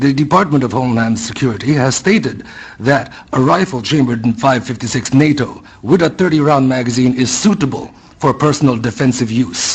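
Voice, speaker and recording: Over noticeable background noise, a man with a non-native accent talks at a fairly quick pace, using a medium pitch with ordinary pitch variation and very even loudness. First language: not English. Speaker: public hearing witness. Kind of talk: public testimony speech. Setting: public hearing room. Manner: passionate.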